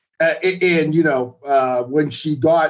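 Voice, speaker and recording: A man with a Boston accent speaks at a fairly high pitch. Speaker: magazine writer. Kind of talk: casual interview chat. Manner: halting with fillers.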